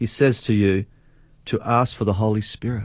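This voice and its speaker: A man speaking at a fairly slow pace on a very clean recording with a silent background. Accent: Australian. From Australia, Adelaide. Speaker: revival speaker and prayer director. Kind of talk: faith testimony interview.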